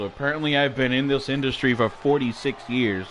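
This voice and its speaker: In an animated tone, a man speaks at medium pitch over noticeable background noise. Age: 60s. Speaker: wrestling commentator. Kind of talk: live play-by-play commentary. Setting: home studio.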